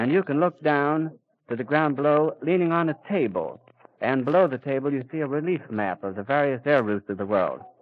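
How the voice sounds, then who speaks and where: A man with a plain, everyday voice speaks fairly quickly at a fairly high pitch, with lively intonation. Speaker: radio reporter. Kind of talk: live radio news commentary. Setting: outdoors at an airfield.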